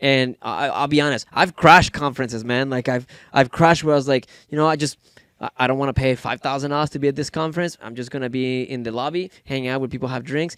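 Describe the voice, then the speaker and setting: In a Spanish accent, a man talks at a very fast pace with fairly even intonation. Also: fairly high pitch for a man, dry, close sound with no echo. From Mexico. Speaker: entrepreneur. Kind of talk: podcast interview.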